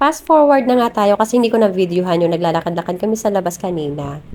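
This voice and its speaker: A woman rattles along very quickly, her pitch swinging very widely, while noticeable noise fills the background. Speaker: vlogger, mother. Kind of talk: vlog voice-over narration. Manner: casual, chatty.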